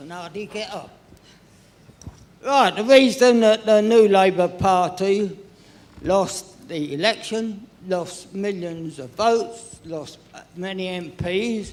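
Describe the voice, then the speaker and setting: A man with a high pitch talks at a very slow pace, with ordinary pitch variation and big swings in loudness. Audible room echo and noticeable background noise fill the recording. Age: 90s. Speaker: audience member at a party conference. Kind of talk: impassioned public comment. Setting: conference hall with audience.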